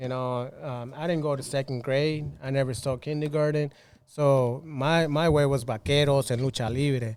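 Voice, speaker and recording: Here a man speaks in a Spanish accent with a fairly high voice. His pace is moderate. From Cuban-Mexican, raised in Mexico (Los Mochis). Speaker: club hypeman. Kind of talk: casual podcast interview. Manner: energetic, code-switching.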